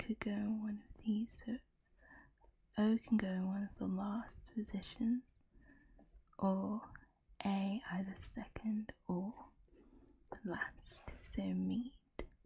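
Soft-spoken, a woman talks at a very slow pace with big swings in loudness and long, frequent pauses. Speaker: ASMR creator. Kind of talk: ASMR puzzle solving talk.

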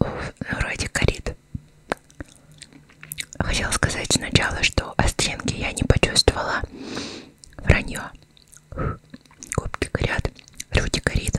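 A woman whispers at a very slow pace. Long, frequent pauses break up her speech. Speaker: ASMR eating content creator; ASMR streamer. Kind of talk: casual talk to camera while eating. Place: home room. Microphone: studio mic.

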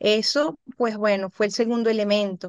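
A woman speaks over a quiet background. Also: dry sound with no echo. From Venezuela. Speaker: psychologist; guest. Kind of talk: interview. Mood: calm, reflective, grateful. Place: home room. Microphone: video call.

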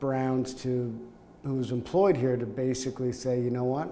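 A man with a Canadian accent at a moderate pace. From Canada, Montreal. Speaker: company executive. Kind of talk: oral history interview; interview answer. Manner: hesitant, with fillers and repetitions. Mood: warm, reminiscing. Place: office.

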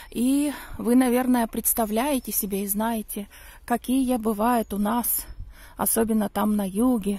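A woman's dark, mellow tone at a fairly slow pace, with fairly even intonation and a dry sound with no echo. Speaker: vlogger. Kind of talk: casual vlog storytelling. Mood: calm, reminiscing. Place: open country. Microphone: phone near.

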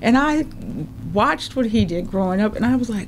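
A woman speaks with an American accent at a fairly high pitch. Noticeable background noise and audible room echo fill the recording. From St. Paul, Minnesota (Rondo/Selby Dale). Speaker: media producer and entrepreneur. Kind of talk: interview. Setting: studio.

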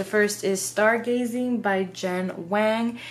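Through noticeable background noise, a woman speaks with fairly even intonation. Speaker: book vlogger. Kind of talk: casual vlog chat. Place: home room.

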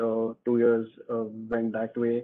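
A man with an Indian accent at a moderate pace, against a quiet background. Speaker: engineer. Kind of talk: Q&A talk. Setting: video call. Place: home room. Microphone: video call.

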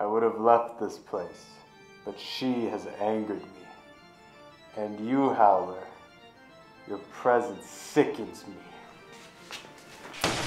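A man does a put-on character voice at a medium pitch and a very slow pace. Clear music plays in the background, and there is a slight echo. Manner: menacing, taunting.

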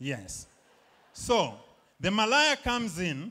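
A man uses a raised, projected voice with a high pitch and a bright, sharp tone. His pitch swings very widely against a quiet background. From Zambia. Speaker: stand-up comedian. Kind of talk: stand-up comedy set. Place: stage. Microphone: handheld.

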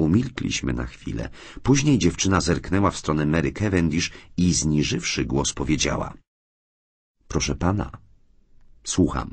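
A man with a very deep, low voice and vocal fry speaks at a moderate pace. His intonation is lively, and he leaves long, frequent pauses. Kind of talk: audiobook reading, literary narration.

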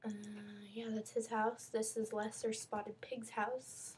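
A woman talks at a fairly slow pace, her fairly high voice somewhat breathy. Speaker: YouTuber showing her game server. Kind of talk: video game walkthrough. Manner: halting, many fillers; casual.

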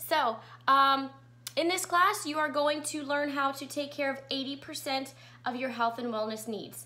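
A woman speaks in a raised, projected voice. Her pace is fairly slow. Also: ordinary pitch variation. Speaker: essential oil educator. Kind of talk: live class presentation. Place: home room. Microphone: webcam.

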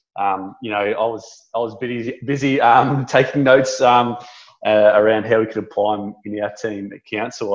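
Against a quiet background, a speaker with an Australian accent talks at a moderate pace in a monotone, flat intonation. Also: man. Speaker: local council business officer, webinar host. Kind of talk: webinar introduction and wrap-up; webinar host closing remarks. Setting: online webinar. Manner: friendly, informal. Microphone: video call.

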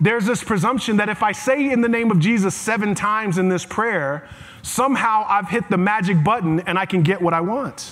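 A man's high-pitched, animated voice with lively intonation at a moderate pace. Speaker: preacher. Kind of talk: sermon. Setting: church with live congregation. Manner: animated, rhetorical, repeating phrases for emphasis, call-and-response with congregation; conversational, humorous, preacherly. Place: church.

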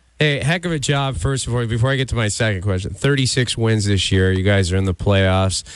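The speaker is a man going at a very fast pace. His pitch variation is ordinary. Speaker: radio host. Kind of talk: casual chat. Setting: studio.

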